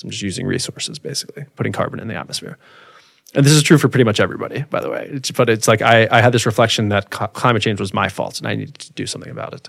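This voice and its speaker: A man talks at a very fast pace with vocal fry, medium pitch and ordinary pitch variation. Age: 30s. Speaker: agroforestry company founder. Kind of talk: casual interview. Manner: animated.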